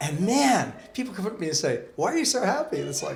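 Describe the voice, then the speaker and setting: A man talks at a fairly quick pace. There is noticeable background noise and audible room echo. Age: 60s. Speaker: Sikh spiritual teacher. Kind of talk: interview. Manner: animated.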